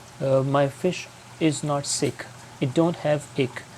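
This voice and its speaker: Spoken at a fairly slow pace with a non-native accent, the clip carries noticeable background noise. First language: not English. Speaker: aquarium hobbyist youtuber. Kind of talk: tutorial. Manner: hesitant with fillers.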